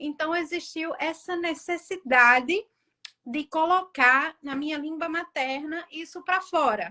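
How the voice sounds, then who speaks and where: A woman speaks very slowly in a raised, projected voice at an extremely high pitch. Her tone is bright and sharp, with ordinary pitch variation. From Brazil. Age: 40s. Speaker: author. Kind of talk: interview.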